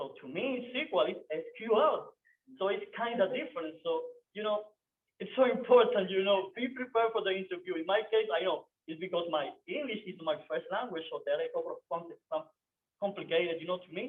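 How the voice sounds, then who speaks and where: The speaker has a non-native accent and lively intonation. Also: man, high pitch for a man. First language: not English. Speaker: software developer, meetup speaker. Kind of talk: meetup talk. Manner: halting.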